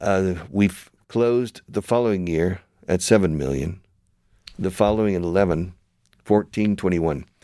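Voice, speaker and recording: A man speaks with an American accent in a very deep, low voice. His tone is dark and mellow, with ordinary pitch variation. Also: moderate pace. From United States. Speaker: radio show host and language school founder. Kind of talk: interview. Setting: studio. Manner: animated.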